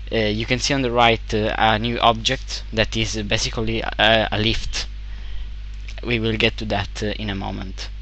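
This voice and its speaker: A man with an Italian accent talks at a moderate pace, with noticeable background noise and audible room echo. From Italy. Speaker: game developer. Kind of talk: tutorial. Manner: halting, many fillers.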